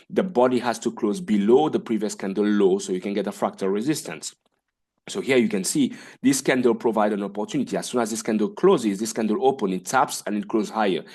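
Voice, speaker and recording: Medium pitch from a man, lively intonation, a fairly quick pace, and a quiet background. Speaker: forex trading educator. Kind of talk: tutorial. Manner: fast.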